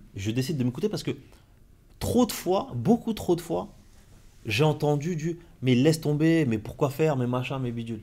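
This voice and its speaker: Pausing long and often at an otherwise moderate pace, a man speaks with a dark, mellow, somewhat breathy tone at a fairly high pitch that swings very widely. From France, Compiègne. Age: 40s. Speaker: entrepreneur and mentor. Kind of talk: casual interview. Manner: halting.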